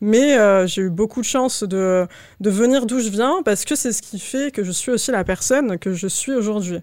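The pace stays moderate. It is an ordinary speaking voice. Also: woman, fairly high pitch for a woman, ordinary pitch variation. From Paris suburbs, France. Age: 20s. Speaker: LinkedIn ghostwriter. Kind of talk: casual interview.

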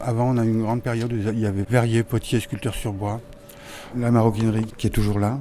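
The pace is fairly quick as a man speaks. Noticeable background noise runs underneath. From southwest France, Lot-et-Garonne. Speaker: restaurant owner and painter. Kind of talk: interview.

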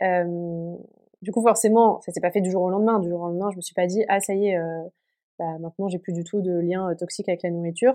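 Her tone is dark and mellow, set at a medium pitch for a woman. The woman talks at a fairly quick pace with fairly even intonation. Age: 20s. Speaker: podcast guest sharing eating disorder recovery. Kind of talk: personal testimony. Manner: hesitant with many fillers.

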